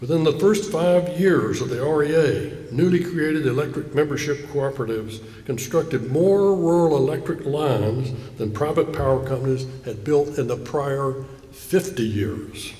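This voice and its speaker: A man with a Southern US accent and a fairly high pitch, at a moderate pace, amid audible room echo and noticeable background noise. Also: ordinary pitch variation. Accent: Southern US (Georgia). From US South, south Georgia (Coffee County). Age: 70s. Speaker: keynote speaker. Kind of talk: speech. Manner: formal.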